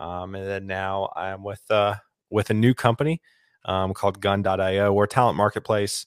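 Speaking fairly slowly in a Southern US accent, a man with a fairly low pitch keeps his intonation fairly even while his loudness swings widely. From US South, South Carolina (Lexington near Columbia). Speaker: tech recruiter. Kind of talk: casual chat. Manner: halting.

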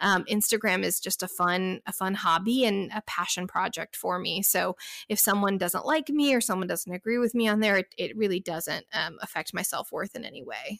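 A woman with an American accent and a normal speaking voice, medium-pitched with ordinary pitch variation, at a moderate pace with hardly any pauses, in a dry, close sound with no echo. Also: very clean recording, silent background. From Texas. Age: 30s. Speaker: hiker and travel influencer. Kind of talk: interview.

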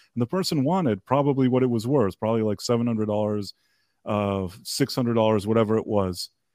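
This man speaks very fast with an American accent, at a medium pitch and with ordinary pitch variation. His tone is dark and mellow, and the sound is dry and close with no echo against a quiet background. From US, partly raised abroad. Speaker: podcast guest. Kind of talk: casual chat. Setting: video call. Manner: halting, many fillers and restarts.

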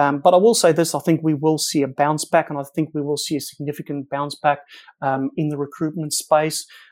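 Speaking at a fairly quick pace with a South African accent, a man with a fairly high pitch keeps a monotone, flat intonation on a very clean recording with a silent background. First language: Afrikaans. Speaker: company co-founder. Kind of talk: interview. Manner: frequent fillers and repetitions.

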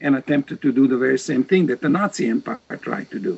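A man at a very fast pace with very wide pitch swings and a Serbo-Croatian accent. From Serbia, Vojvodina region of former Yugoslavia. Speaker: professor of religious studies and genocide author. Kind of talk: interview.

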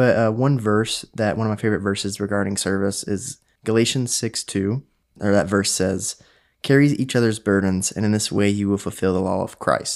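In a quiet background, an unremarkable speaking voice moves at a moderate pace with fairly even intonation. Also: man, fairly low pitch for a man. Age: 20s. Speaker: recent college graduate, podcast guest. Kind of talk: casual faith discussion.

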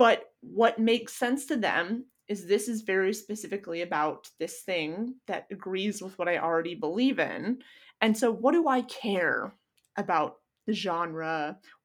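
A woman speaks at a fairly slow pace and medium pitch with lively intonation, a plain, everyday voice on a very clean recording with a silent background. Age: 30s. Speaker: online content creator. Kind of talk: casual chat.

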